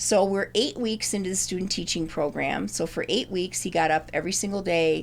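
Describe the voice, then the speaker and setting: Her voice shows vocal fry as this woman talks at a moderate pace and a fairly low pitch with ordinary pitch variation. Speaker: retired English teacher. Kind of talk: personal storytelling interview. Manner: halting.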